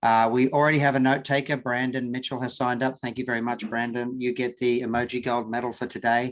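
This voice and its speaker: A man with an Australian accent at a fairly quick pace, against a quiet background. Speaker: working group chair. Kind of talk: online meeting.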